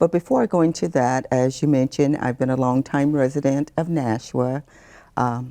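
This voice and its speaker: In a dry, close sound with no echo, a woman with a very deep, low voice and a dark, mellow tone speaks at a moderate pace, with ordinary pitch variation and very even loudness. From US South, New Orleans, Louisiana. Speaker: retired community volunteer. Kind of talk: interview.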